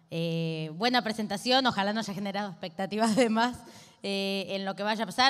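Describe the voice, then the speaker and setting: Against a quiet background, a woman at medium pitch talks very fast with ordinary pitch variation. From Argentina. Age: 20s. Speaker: activist and legislator; guest. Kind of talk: talk at a panel discussion. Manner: speeds up when agitated. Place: hall. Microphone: handheld.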